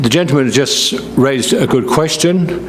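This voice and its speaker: Someone with a British accent speaks at a fairly slow pace with ordinary pitch variation, amid noticeable background noise and audible room echo. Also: man. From Britain. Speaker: local resident speaking at public hearing. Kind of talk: public comment.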